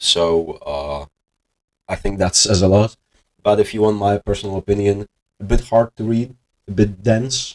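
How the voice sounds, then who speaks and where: The sound is dry and close with no echo as a man with a fairly low pitch speaks with a non-native accent. He leaves long, frequent pauses. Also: ordinary pitch variation, moderate pace. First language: not English. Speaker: investing video host. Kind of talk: casual monologue. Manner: hesitant, many filler words.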